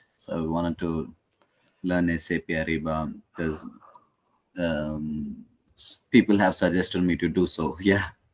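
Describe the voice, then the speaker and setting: A man with an Indian accent and a very deep, low voice speaks at a moderate pace in a monotone, flat intonation, with long, frequent pauses. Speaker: trainee. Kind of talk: casual chat.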